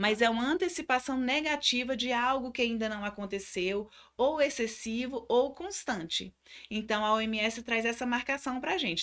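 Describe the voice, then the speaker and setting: Recorded very cleanly against a silent background, a woman speaks at a high pitch with lively intonation. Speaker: psychologist. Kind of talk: lecture.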